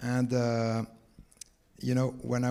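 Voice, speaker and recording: Speaking at a fairly slow pace, this man has a dark, mellow tone. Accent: French. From France. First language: French. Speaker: tech company founder. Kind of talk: panel discussion.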